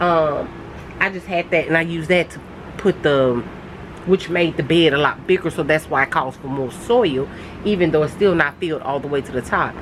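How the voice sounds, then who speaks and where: Over noticeable background noise, a woman with a very deep, low pitch speaks with fairly even intonation. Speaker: gardening vlogger. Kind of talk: casual vlog talk. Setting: outdoors in backyard under gazebo. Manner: halting, many fillers.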